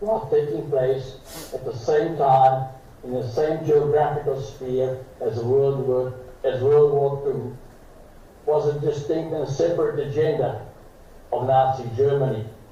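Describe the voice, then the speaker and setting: Over noticeable background noise and audible room echo, a man talks at a fairly slow pace with a fairly high pitch and fairly even intonation. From Slovakia. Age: 80s+. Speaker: Holocaust survivor. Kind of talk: formal speech. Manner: formal.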